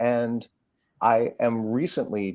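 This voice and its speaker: A man speaks with a medium pitch. The recording is very clean, with a silent background. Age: 60s. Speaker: musician and co-host. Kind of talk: casual chat.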